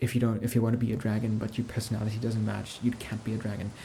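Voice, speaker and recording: Soft-spoken and somewhat breathy, a man talks at a medium pitch in a gentle, dark, mellow tone. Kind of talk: casual talk to camera, soft-spoken ASMR chat. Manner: soft-spoken, gentle.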